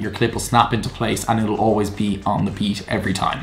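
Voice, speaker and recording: Over noticeable background noise, a man with an Irish accent talks very fast. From Ireland. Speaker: video creator. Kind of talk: tutorial.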